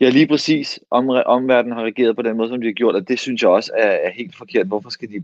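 A man talking at a very fast pace. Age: 30s. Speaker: actor, co-host. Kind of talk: casual chat. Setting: home, remote. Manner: halting.

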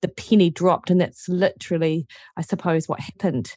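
A woman speaks at a fairly quick pace in a New Zealand accent, her medium pitch showing ordinary variation. Her tone is dark and mellow, and the sound is dry and close with no echo. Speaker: nutritionist and university lecturer. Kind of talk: casual interview chat.

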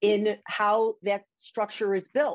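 Over a quiet background, a woman with a strong Chicago accent speaks at a medium pitch and a very slow pace. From Chicago area (Skokie, Illinois). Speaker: magazine publisher and editor. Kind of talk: casual interview.

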